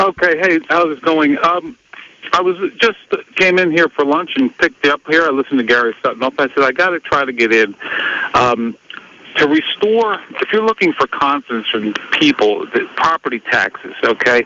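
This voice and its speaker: An American accent marks this man's fairly high-pitched voice, with very wide pitch swings and very even loudness at a moderate pace, in a dry, close sound with no echo and noticeable background noise. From York, Pennsylvania and Long Island, New York. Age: 60s. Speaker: radio caller. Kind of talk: call-in talk.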